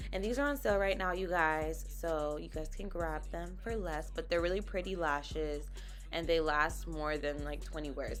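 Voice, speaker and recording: Music can be heard behind the recording. Her delivery, as a woman, moves at a moderate pace. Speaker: makeup vlogger. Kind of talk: casual talk to camera.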